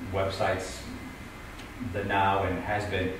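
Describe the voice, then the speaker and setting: Fairly slow speech in a room with audible echo, plus noticeable background noise. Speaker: panel moderator and TV news journalist. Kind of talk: moderated panel discussion. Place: hall.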